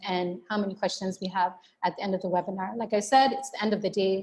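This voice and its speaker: A woman's somewhat breathy voice carries fairly even intonation. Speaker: webinar presenter. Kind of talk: webinar presentation. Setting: online webinar. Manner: fast.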